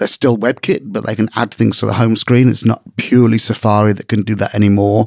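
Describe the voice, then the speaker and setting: With an English accent, the speaker talks at a fairly quick pace in monotone, flat intonation, with hardly any pauses. The sound is dry and close with no echo. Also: man, medium pitch for a man. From England. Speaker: podcast host. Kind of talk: casual chat.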